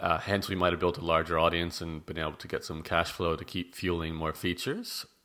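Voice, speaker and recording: A man's very deep, low voice with an Australian accent, bright and sharp in tone, monotone and flat, at a fairly quick pace with hardly any pauses and big swings in loudness, on a very clean recording with a silent background. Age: 30s. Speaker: blogger and podcast host. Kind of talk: casual chat.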